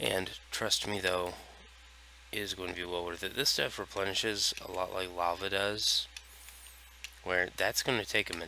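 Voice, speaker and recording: A man speaks at a moderate pace in a very deep, low voice with fairly even intonation, leaving long, frequent pauses. Noticeable background noise runs behind him. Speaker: gaming streamer. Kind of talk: gameplay commentary. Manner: near monotone.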